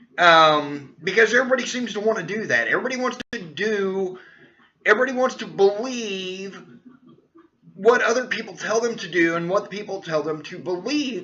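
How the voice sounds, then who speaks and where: A man projects a raised voice at a high pitch, with ordinary pitch variation. His pace is moderate and his loudness swings widely. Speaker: personal development vlogger. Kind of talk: casual monologue. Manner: stuttering today; halting, many fillers.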